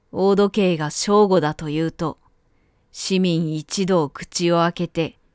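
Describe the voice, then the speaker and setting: Fairly low in pitch with fairly even intonation, a woman is heard in a very clean recording with a silent background and a dry, close sound with no echo. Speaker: narrator. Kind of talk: audiobook literary reading.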